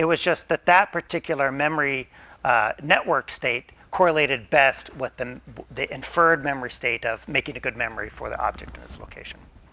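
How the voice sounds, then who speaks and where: With vocal fry and big swings in loudness, a man talks at a fairly quick pace in a fairly high voice with a bright, sharp tone. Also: ordinary pitch variation. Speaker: neuroscience professor. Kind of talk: lecture. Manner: fast.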